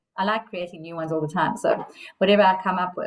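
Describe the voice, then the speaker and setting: Her pace is very fast. This woman's medium pitch stays fairly even. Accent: South African. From South Africa. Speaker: coach. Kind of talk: casual chat.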